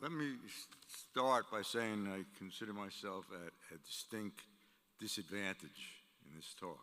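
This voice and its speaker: A man with a bright, sharp tone and fairly low pitch speaks at a fairly slow pace, with ordinary pitch variation and big swings in loudness. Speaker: university executive, commencement speaker. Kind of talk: commencement speech.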